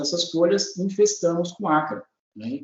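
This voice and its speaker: The man's pitch sits high. He speaks at a fairly slow pace. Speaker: agronomy researcher, professor. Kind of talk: technical training presentation. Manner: hesitant, many fillers.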